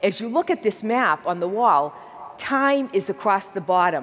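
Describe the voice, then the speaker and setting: A woman with a Boston accent speaks at a moderate pace in a warm, enthusiastic tone with lively intonation. Light background noise can be heard. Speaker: healthcare nonprofit CEO. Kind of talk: keynote speech. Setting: stage with audience. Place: stage. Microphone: headset.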